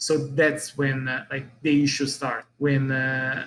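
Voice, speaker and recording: With an Italian accent, a man speaks at a fairly slow pace in a fairly high pitch, his intonation monotone and flat. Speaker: business owner. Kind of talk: interview. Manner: halting.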